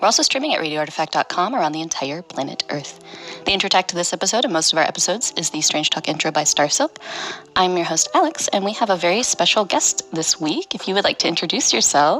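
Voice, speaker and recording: A woman with an American accent talks at a very fast pace in a fairly low pitch, with music playing in the background. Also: lively intonation. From Ohio. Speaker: radio host. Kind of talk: radio show interview.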